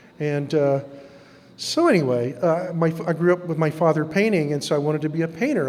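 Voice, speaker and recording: Speaking at a fairly quick pace, a man with a fairly high pitch is heard with audible room echo. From Texas. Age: 60s. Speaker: artist. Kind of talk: lecture.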